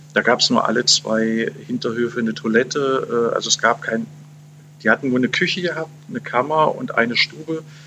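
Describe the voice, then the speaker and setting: Fairly quick male speech with noticeable noise behind it. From Saxony-Anhalt, eastern Germany. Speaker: journalist. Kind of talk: interview. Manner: halting, many fillers.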